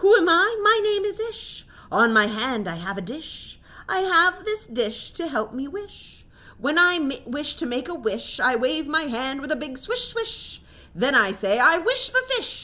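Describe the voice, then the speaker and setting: In a put-on character voice, a woman speaks at a high pitch with very wide pitch swings. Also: moderate pace. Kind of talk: bedtime story. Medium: read story. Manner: sing-song, rhyming.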